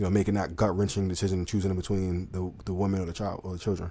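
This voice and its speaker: At a very fast pace, a man with a Southern US accent speaks in a dark, mellow tone. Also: very clean recording, silent background. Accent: Southern country. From US South. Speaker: dating commentary channel host. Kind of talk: live stream commentary.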